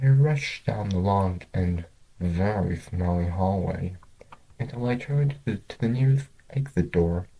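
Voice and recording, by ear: Low-pitched with vocal fry and a dark, mellow tone, a man speaks at a fairly slow pace with ordinary pitch variation.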